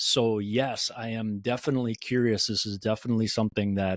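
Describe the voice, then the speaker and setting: A man with a medium pitch speaks at a moderate pace with fairly even intonation in an unremarkable speaking voice. The very clean recording has a silent background and a dry, close sound with no echo. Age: 60s. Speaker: cycling coach. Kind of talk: podcast discussion.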